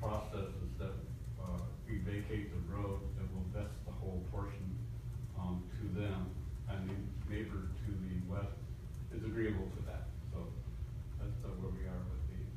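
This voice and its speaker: A man speaks with long, frequent pauses. Loud background noise and audible room echo fill the recording. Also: moderate pace. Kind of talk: meeting presentation. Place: meeting room. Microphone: camera far.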